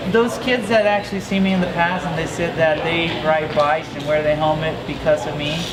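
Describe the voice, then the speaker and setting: Over noticeable background noise and audible room echo, a man with a fairly high pitch talks at a fairly quick pace with hardly any pauses and ordinary pitch variation. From Mexico (La Paz), raised from 13 in Las Vegas. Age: 30s. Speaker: pro BMX rider. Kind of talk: interview. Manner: casual, upbeat.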